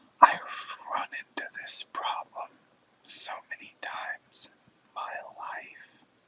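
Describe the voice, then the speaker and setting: Someone is whispering at a very slow pace. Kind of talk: ASMR whispered reflective talk. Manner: whispered.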